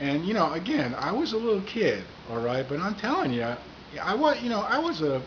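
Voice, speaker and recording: Background noise and room echo are both audible as a man talks at a moderate tempo. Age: 60s. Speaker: comedian. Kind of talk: casual monologue to camera.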